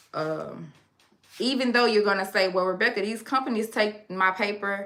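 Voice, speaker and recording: Speaking at a fairly quick pace with a Louisiana accent, a woman sounds animated, her pitch varying in an ordinary way. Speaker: online educator on consumer law. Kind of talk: live stream Q&A. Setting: live stream.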